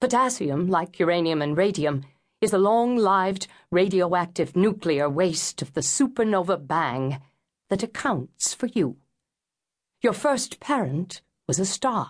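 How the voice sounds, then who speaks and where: The delivery is fairly slow. Pitch swings very widely throughout. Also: woman, medium pitch for a woman. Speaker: audiobook narrator. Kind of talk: dramatic audiobook narration of a mythic cosmic first-person monologue. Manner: grave, incantatory storytelling with weighty pauses; rising, expressive emphasis on sweeping poetic images.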